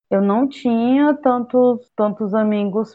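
A woman talks very slowly at a fairly high pitch. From Ceará, Brazil (Camocim). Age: 30s. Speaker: agronomy student and activist. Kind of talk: interview. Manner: halting.

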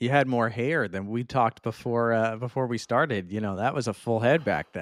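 A man with an unremarkable speaking voice, medium pitch, ordinary pitch variation, and a fairly quick pace. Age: 30s. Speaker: golf podcast host and broadcaster. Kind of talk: casual chat. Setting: remote recording.

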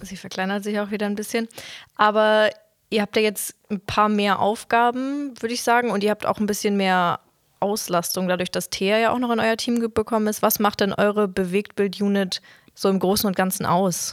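On a very clean recording with a silent background and a dry, close sound with no echo, a woman speaks in an ordinary speaking voice at a medium pitch, at a moderate pace, with fairly even intonation. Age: young. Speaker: trainee, podcast host. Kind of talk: casual interview. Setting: studio, sitting face to face.

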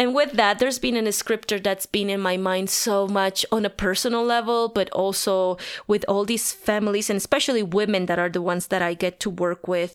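Fairly even intonation marks this fairly quick delivery with a Spanish accent and hardly any pauses. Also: woman, medium pitch for a woman. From Bolivia, La Paz. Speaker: pastor. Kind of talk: interview.

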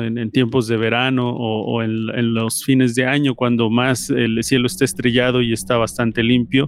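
The man's pitch sits at a medium level. He talks fairly slowly, with monotone, flat intonation. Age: 40s. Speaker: podcast guest, music podcast contributor. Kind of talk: personal testimony.

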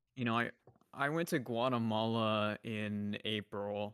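Recorded very cleanly with a silent background and a dry, close sound with no echo, an unremarkable speaking voice goes at a fairly slow pace with ordinary pitch variation. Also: man. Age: 20s. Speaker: streamer, podcast guest. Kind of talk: casual chat.

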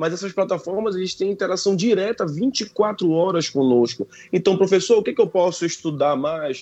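A man speaks with a dark, mellow tone. His pace is moderate and his intonation lively. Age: 30s. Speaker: university professor. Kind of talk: radio interview.

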